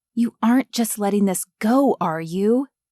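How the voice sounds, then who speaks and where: A woman quietly puts on a character voice with a fairly high pitch and some hissing. She keeps a moderate pace in a dry, close sound with no echo. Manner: hissing, quiet.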